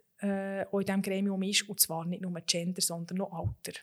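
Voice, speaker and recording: Here is a woman with an unremarkable speaking voice at medium pitch and a moderate pace. Her intonation is fairly even, and the recording is very clean with a silent background. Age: 30s. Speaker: lawyer and managing director. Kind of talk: interview.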